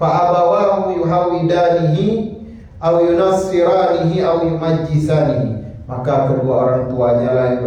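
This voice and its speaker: Recorded with audible room echo and noticeable background noise, a man speaks at a high pitch. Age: 70s. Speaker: Islamic preacher. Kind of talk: religious lecture. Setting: mosque.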